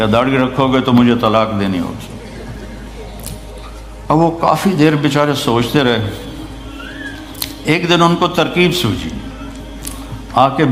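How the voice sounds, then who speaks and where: The speaker uses ordinary pitch variation while music plays in the background. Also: man. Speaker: Islamic scholar giving a sermon. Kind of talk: Islamic sermon (bayan) to a live audience. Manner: emotional, preaching, with humorous anecdotes.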